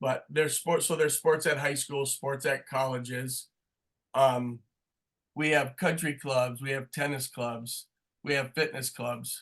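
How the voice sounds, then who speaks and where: Against a quiet background, a man with a fairly high pitch speaks fairly slowly in a flat, monotone way. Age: 60s. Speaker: sport marketing professor. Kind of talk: webinar interview.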